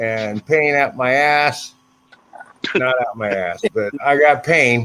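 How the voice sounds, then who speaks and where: At a very slow pace, a man with fairly high pitch speaks with lively intonation. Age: 60s. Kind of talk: casual chat.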